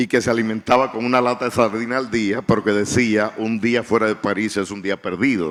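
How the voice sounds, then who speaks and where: A man's medium-pitched voice keeps fairly even intonation while moving at a moderate pace. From Dominican Republic. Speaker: writer. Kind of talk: panel discussion.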